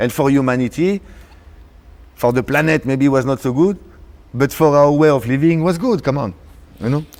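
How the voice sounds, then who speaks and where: Fairly high-pitched, a man talks at a fairly quick pace with ordinary pitch variation. Long, frequent pauses break up his speech. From France (Paris). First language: French. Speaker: DJ and producer. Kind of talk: casual interview chat.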